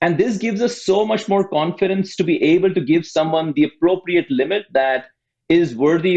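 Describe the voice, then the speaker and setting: This man speaks at a moderate pace with a high pitch and ordinary pitch variation. His loudness stays very even. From outside the US. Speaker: fintech startup co-founder. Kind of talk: podcast interview.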